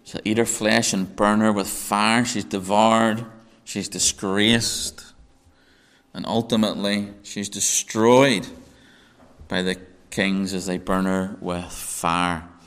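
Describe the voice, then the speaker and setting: Speaking at a very slow pace with long, frequent pauses, a man keeps a fairly low pitch and fairly even intonation. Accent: Northern Irish. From Northern Ireland. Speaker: Bible teacher. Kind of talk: sermon. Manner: hesitant, repeats words.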